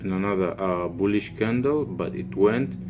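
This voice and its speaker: A man speaks at a fairly slow pace with a very deep, low pitch and lively intonation. Audible room echo surrounds his voice. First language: Portuguese. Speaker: forex trader / trading YouTuber. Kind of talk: trading tutorial / chart walkthrough. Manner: halting, with frequent fillers and restarts.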